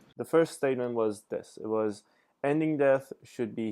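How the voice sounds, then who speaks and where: A man at a moderate pace with fairly even intonation, in a very clean recording with a silent background. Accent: non-native. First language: not English. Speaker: reaction video creator. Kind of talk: casual commentary. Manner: hesitant, many fillers.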